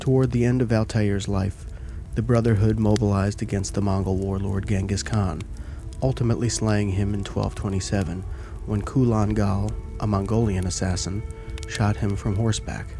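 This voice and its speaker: Over background music, a man with a fairly low pitch speaks at a moderate pace in a soothing, calm tone with ordinary pitch variation. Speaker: ASMR content creator. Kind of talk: ASMR book reading for sleep.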